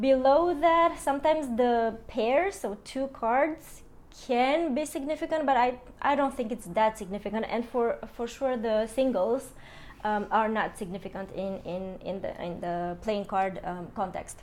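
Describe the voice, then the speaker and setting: A woman with a non-native accent speaks at a high pitch. Her pace is fairly slow and her intonation lively. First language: not English. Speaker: tarot and Lenormand card reader. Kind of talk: astrology card reading. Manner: hesitant, many fillers.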